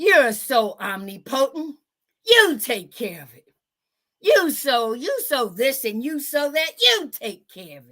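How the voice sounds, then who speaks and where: A woman uses a put-on character voice, high in pitch. She delivers it at a fairly slow pace. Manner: sarcastic, mocking.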